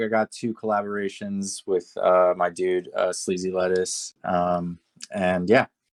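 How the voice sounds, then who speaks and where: With an American accent, this voice sounds dry and close, free of any echo. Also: man. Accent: American, little foreign trace. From Turkey, moved to US at ten. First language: Turkish. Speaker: music producer. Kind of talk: interview. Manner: halting, many fillers.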